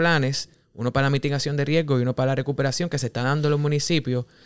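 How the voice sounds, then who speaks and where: The recording is dry and close with no echo as a man talks very fast in a fairly high pitch. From Puerto Rico, Cabo Rojo. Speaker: podcast co-host, planner. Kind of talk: casual interview.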